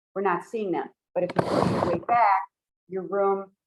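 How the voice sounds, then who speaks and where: A woman with a plain, everyday voice, medium pitch, fairly even intonation and a fairly quick pace. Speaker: toastmasters presenter. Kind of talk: workshop presentation.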